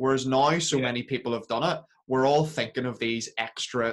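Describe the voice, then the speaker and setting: The speaker is a man with a Belfast accent. His pace is moderate. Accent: Belfast, Northern Irish. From Belfast, Northern Ireland. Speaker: podcast host and fitness entrepreneur. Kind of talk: casual interview.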